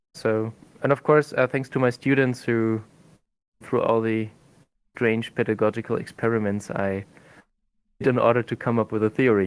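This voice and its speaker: A man with a German accent, medium in pitch, with fairly even intonation and long, frequent pauses. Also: moderate pace. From Germany. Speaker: language teacher and researcher. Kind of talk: podcast interview. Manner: halting.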